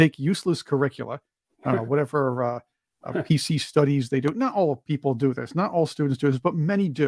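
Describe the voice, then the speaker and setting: A man talks at a fairly quick pace in an unremarkable speaking voice, fairly high in pitch with ordinary variation, and the sound is dry and close with no echo. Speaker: podcast host. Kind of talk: interview question.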